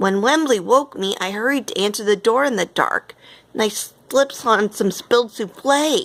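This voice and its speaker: A woman puts on a character voice with a rumbling quality at a fairly high pitch. Her pitch varies in an ordinary way at a moderate pace. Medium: read story. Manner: grumbling, fussy.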